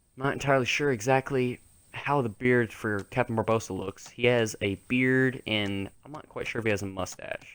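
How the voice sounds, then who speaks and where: Medium-pitched male voice, fairly even intonation, big swings in loudness, and a moderate pace. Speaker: gaming youtuber. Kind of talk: tutorial. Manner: halting; improvised.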